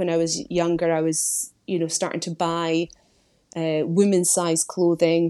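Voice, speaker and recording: A woman speaks with a Scottish accent at a moderate pace. Her voice is fairly low in pitch and dark, mellow in tone. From Scotland. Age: 30s. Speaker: weight loss story guest, marketing executive. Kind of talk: interview, personal testimony.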